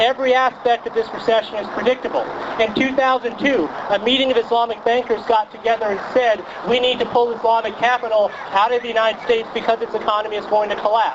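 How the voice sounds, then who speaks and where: A man speaks at a very fast pace with an American accent and an extremely high pitch. Noticeable background noise is present. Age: 30s. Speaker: journalist. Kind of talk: protest speech. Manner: loud; animated.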